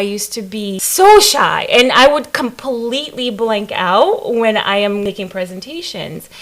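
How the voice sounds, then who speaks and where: A woman with a fairly high pitch talks at a moderate pace while noticeable noise sounds in the background. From Africa. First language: not English. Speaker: staff development director. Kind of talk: interview.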